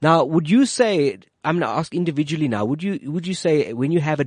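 An unremarkable speaking voice from a man, fairly quick and with lively intonation, over a quiet background. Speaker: radio host. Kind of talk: radio interview. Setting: studio. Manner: friendly, joking.

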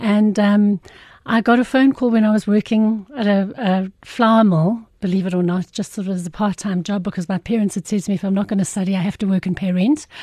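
At a fairly quick pace, a woman speaks at a medium pitch with a dark, mellow, somewhat breathy tone. Her intonation is fairly even, and the background is quiet. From South Africa, Irene near Pretoria. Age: 50s. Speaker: occupational therapist and business founder. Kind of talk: casual interview.

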